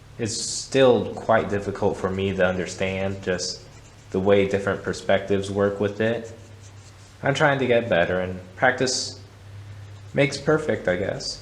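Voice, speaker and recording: Audible room echo surrounds a man who speaks at a fairly slow pace in a fairly low pitch with ordinary pitch variation. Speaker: art instructor. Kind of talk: tutorial. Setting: art gallery. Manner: stuttering; halting.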